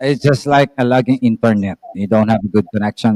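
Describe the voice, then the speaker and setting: In a Filipino accent, a man talks at a fairly quick pace with a dark, mellow tone, the sound dry and close with no echo. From Philippines. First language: Tagalog. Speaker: live stream participant. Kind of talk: casual chat. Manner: soft-spoken; halting.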